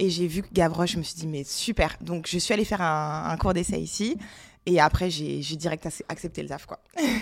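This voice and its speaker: With vocal fry and ordinary pitch variation, a woman speaks in a fairly low voice at a moderate pace. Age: 30s. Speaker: gym member, events worker. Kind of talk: casual chat.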